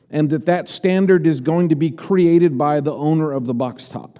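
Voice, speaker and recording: This man's voice sits at a high pitch with a dark, mellow tone and ordinary pitch variation. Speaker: preacher. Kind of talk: sermon.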